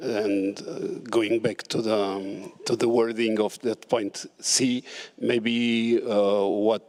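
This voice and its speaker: A man with a non-native accent talks at a very slow pace. His medium-pitched voice keeps a fairly even intonation. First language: not English. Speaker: country delegate. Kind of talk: formal meeting intervention. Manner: hesitant, many fillers.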